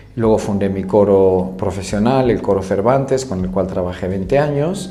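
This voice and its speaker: In a room with audible echo and noticeable background noise, a man speaks at a moderate pace, his fairly low pitch showing ordinary variation. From Spain, Madrid. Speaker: choral conductor and vocal teacher. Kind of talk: interview.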